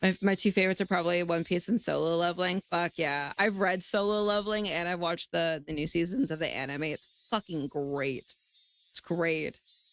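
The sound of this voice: A woman speaks at a fairly low pitch with fairly even intonation. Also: moderate pace.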